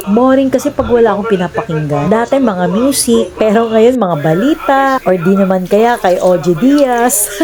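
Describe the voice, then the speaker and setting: With hardly any pauses and very even loudness, a woman speaks at a moderate pace and a fairly high pitch over noticeable background noise. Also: lively intonation. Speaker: cooking vlogger. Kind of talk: casual vlog chat.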